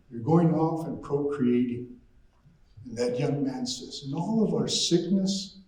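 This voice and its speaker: There is noticeable background noise and audible room echo. A man speaks at a fairly slow pace with a fairly high pitch. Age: 60s. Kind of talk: storytelling to an audience.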